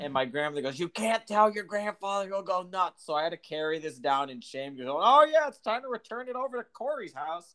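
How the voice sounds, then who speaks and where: A man's raised, projected voice, high for a man, with very wide pitch swings, a bright, sharp tone, a fairly quick pace, hardly any pauses, and a dry, close sound with no echo. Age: 20s. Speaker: podcast co-host. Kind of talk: casual chat.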